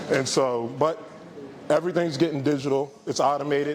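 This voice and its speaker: Over noticeable background noise, a man talks fairly quickly at a fairly high pitch with ordinary pitch variation. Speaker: entrepreneur and investment speaker. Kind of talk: casual talk to a live audience. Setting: event room with small audience. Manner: casual, many fillers.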